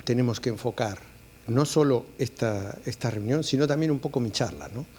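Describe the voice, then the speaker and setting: The voice carries an Argentine accent, with a dark, mellow tone and ordinary pitch variation. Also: man. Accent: Argentine (La Plata). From Argentina (La Plata). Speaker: clinical geneticist. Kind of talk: conference talk. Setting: auditorium with audience. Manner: hesitant, many fillers.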